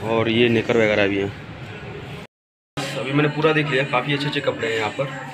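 Speaking at a fairly quick pace, a man uses a medium-pitched voice with ordinary pitch variation. His tone is fairly bright.

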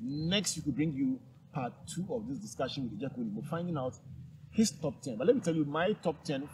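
Fairly high, somewhat breathy male voice with lively intonation at a fairly quick pace, over noticeable background noise. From Ghana. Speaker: TV and radio talk show host; radio talk show host. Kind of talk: interview. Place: open country. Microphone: lapel.

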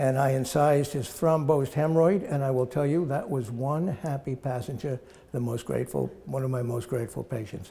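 At a fairly quick pace with hardly any pauses, a man of medium pitch and a dark, mellow, somewhat breathy tone speaks with ordinary pitch variation. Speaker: physician, former ship's surgeon. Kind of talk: interview answer, personal reminiscence. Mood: amused, fond reminiscing.

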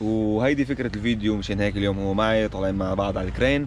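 Recorded dry with no echo over light background noise, a man with an unremarkable speaking voice speaks at a fairly low pitch with fairly even intonation. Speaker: vlogger. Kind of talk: casual vlog chat. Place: cafe. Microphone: phone near.

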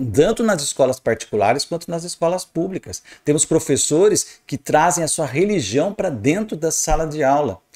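Over a quiet background, a man speaks at a moderate pace with hardly any pauses and vocal fry. His tone is animated and his intonation lively. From Brazil. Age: 50s. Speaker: astrologer; astrologer commentator. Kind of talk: video commentary monologue. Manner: animated, emphatic. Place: home room. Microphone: studio mic.

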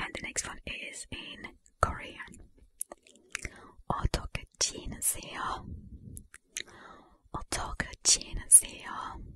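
Whispered words come at a very slow pace, broken by long, frequent pauses. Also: woman. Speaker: ASMR creator. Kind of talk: ASMR soft-spoken language questions to camera. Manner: soft whisper. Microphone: studio mic.

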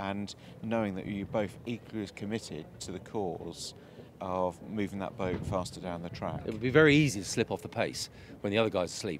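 Fairly quick speech with ordinary pitch variation, a dry sound with no echo, and noticeable background noise. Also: man, fairly low pitch for a man. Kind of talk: interview answer. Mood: reflective, pleased. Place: waterside.

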